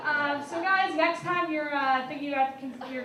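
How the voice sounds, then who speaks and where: Over noticeable background noise and audible room echo, a woman with a high pitch projects a raised voice at a fairly quick pace with ordinary pitch variation. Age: young. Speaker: stand-up comedian. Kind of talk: stand-up. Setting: stage with audience.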